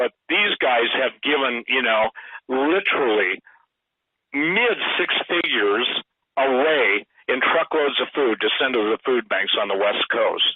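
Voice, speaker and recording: At a fairly slow pace with long, frequent pauses, a man speaks at medium pitch with lively intonation and very even loudness. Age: 60s. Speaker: radio guest and author. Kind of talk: radio interview. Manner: animated.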